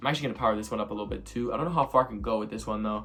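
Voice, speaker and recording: An animated male voice with lively intonation and vocal fry. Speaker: gaming video creator. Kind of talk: gameplay commentary. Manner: fast.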